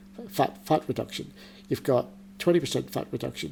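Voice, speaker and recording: A man is speaking. His voice shows vocal fry. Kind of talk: casual interview chat. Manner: hesitant, repeats words.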